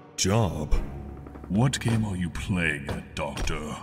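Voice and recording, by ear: A man puts on a character voice with a very deep, low pitch at a very slow pace. Clear music plays in the background.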